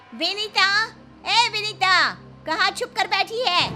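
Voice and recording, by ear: Shouting in a put-on character voice, a woman speaks very slowly at an extremely high pitch with fairly even intonation while music plays clearly in the background.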